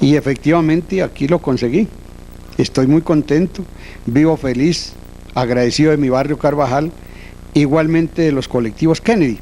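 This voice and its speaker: With very even loudness, a man talks at a moderate pace and a fairly high pitch, using ordinary pitch variation and long, frequent pauses. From Colombia, Boyacá countryside. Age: 60s. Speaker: transport cooperative founder. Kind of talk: interview, personal reminiscence.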